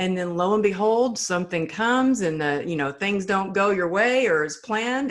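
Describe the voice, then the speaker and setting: With a Texan accent, a woman speaks at a moderate pace and with ordinary pitch variation. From Texas. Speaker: resilience speaker. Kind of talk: interview answer.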